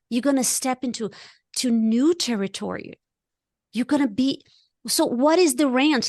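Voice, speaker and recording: A woman with a non-native accent and a high pitch talks at a moderate pace, the sound dry and close with no echo over a quiet background. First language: not English. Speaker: life coach. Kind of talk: casual chat. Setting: podcast. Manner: animated.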